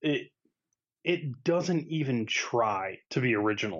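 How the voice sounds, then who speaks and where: This man talks at a very slow pace with lively intonation. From USA. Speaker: podcast co-host. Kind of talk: casual chat.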